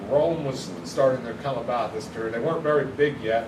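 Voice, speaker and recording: A man speaks fairly quickly amid noticeable background noise and audible room echo. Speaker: youth pastor. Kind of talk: bible study lesson. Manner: fast.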